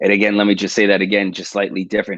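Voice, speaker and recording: A man with a New York accent talks at a very fast pace in a fairly low pitch. The sound is dry and close, with no echo. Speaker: police detective and suicide prevention researcher. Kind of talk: livestream interview talk. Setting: video livestream.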